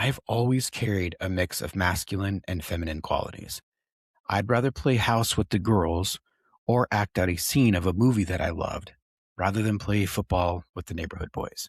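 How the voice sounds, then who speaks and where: Against a quiet background, a man with a fairly low pitch speaks in a calm, soothing tone, somewhat breathy, at a moderate pace with ordinary pitch variation. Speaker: podcast host and tattoo artist. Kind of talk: personal storytelling monologue. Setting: podcast recording. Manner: grounded, soothing.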